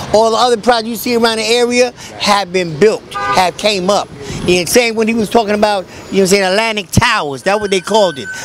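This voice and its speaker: A man's high-pitched voice at a fairly quick pace with ordinary pitch variation, dry with no echo, over noticeable background noise. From New York. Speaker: community activist and street bookseller. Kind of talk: casual street talk. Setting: outdoors on a street. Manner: halting, many fillers. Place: street. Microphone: handheld.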